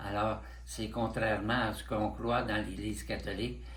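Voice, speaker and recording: Vocal fry marks a man speaking very slowly, with audible room echo. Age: 90s. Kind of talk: interview. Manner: halting.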